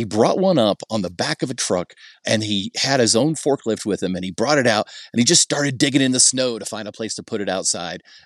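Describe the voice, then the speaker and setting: A man with an American accent talks in an ordinary speaking voice at medium pitch, with lively intonation. The sound is dry and close with no echo, over a quiet background. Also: fairly quick pace. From Ohio, US Midwest. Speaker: mountain resident and social media personality. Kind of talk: casual interview chat.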